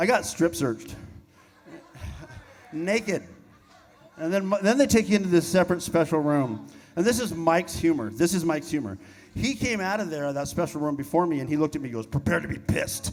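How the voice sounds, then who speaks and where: Long, frequent pauses punctuate a man's fairly quick speech. His pitch is high and his intonation lively. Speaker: rock band member. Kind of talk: on-stage storytelling. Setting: stage with audience.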